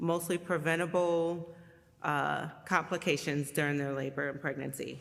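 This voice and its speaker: Speaking fairly slowly, a woman uses a very deep, low pitch with ordinary pitch variation. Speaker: executive director of a doula and postpartum support nonprofit. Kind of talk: appeal for a charity. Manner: loud.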